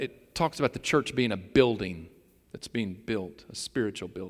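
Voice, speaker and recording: A man talks at a fairly quick pace with lively intonation and vocal fry. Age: 60s. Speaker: pastor. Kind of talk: sermon. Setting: church.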